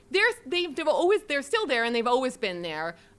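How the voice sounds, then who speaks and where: Speaking loudly with a Canadian accent, a woman lets her pitch swing very widely. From Canada, Saskatchewan. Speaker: professor. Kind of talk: academic Q&A answer.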